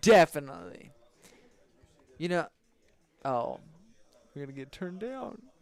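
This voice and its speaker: A loud man's voice, high in pitch, with very wide pitch swings, a moderate pace and long, frequent pauses. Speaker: esports commentator. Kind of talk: casual chat.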